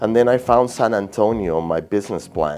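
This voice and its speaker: A man speaks at a fairly quick pace. He has a strong Peruvian accent. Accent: thick Peruvian Spanish. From Peru (Lima). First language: Spanish. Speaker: realtor. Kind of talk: interview. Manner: halting, repeats words.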